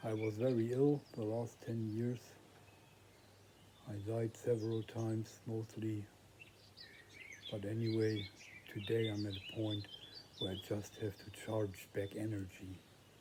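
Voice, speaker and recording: A man speaks at a fairly low pitch with monotone, flat intonation and long, frequent pauses. Noticeable background noise runs underneath. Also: fairly slow pace. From northern Germany. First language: German. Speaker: vlogger. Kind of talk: personal vlog monologue. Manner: halting.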